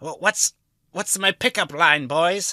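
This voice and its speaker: A female-sounding put-on character voice sits at a middle pitch and moves at a fairly slow pace. The recording is very clean, with a silent background. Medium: actual play. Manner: awkward, earnest.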